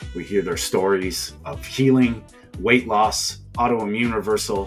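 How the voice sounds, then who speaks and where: Over music in the background, a man talks at a fairly slow pace with a fairly low pitch and lively intonation. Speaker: podcast host. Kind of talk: podcast intro.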